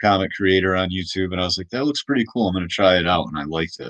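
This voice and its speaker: A loud man with fairly even intonation against a quiet background. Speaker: comic artist streamer; small comic creator. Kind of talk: casual live stream chat. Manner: halting, many fillers. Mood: thoughtful, a bit worried. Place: home room. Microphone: webcam.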